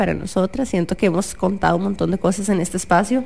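A woman talks at a fairly quick pace with vocal fry in her voice. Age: 30s. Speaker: podcast co-host, neuroscientist. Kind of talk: casual chat. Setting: radio studio.

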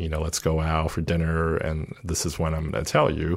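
A man speaks with a very deep, low pitch. Noticeable background noise sits behind him. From Taiwan, moved to US as child. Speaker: support group member. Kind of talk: personal testimony. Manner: halting, many fillers.

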